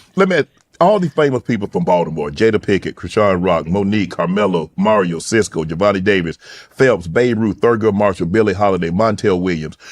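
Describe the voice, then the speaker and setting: A man with a strong South Georgia accent, fairly low in pitch with ordinary pitch variation, at a fairly quick pace in a dry, close sound with no echo. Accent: heavy colloquial rural South Georgia dialect. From rural South Georgia. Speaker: talk show host. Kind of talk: interview.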